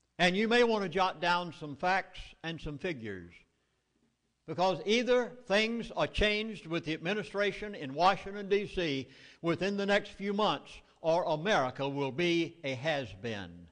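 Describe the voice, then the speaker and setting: Speaking with a Southern US accent at a moderate pace, a man uses a high pitch and lively intonation. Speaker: minister and public speaker. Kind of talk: public lecture. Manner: animated.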